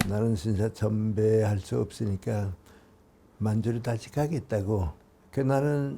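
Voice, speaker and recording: His pitch shows ordinary variation. The man's pace is very slow. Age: 80s+. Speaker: philosopher, professor. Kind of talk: interview answer.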